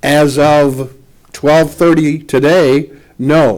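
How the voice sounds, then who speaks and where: Echo from the room is clearly heard. The speaker is a man. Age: 70s. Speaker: city mayor. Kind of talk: press conference remarks. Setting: press conference at a lectern with a sound system.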